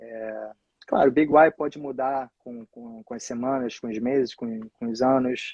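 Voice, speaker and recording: In a dry, close sound with no echo, a man speaks fairly slowly at medium pitch with flat, monotone intonation and big swings in loudness. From Rio de Janeiro, Brazil. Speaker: real estate agent, former soccer coach. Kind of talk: interview answer.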